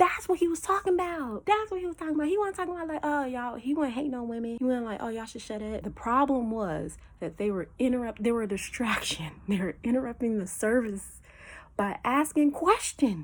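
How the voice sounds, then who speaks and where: With a high voice and very wide pitch swings, a woman talks at a fairly quick pace over noticeable background noise. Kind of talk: casual Bible teaching. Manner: animated.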